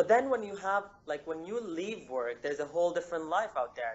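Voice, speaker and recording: His pitch rises and falls very widely. The speaker is a man. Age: 20s. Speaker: engineer and healthy-living author. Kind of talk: interview. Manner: halting, many fillers. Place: home room. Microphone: video call.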